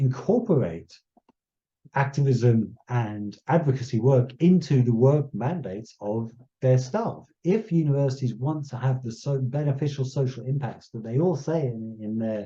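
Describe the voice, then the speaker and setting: The man's voice is dark and mellow, somewhat breathy, at medium pitch with ordinary pitch variation. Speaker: conservation scientist giving a talk. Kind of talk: lecture. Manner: slow; halting, many repetitions and fillers.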